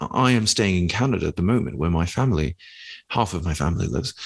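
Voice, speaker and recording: Talking at a very fast pace, a man with a British accent is heard on a very clean recording with a silent background. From Britain. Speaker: podcast co-host. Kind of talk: casual chat.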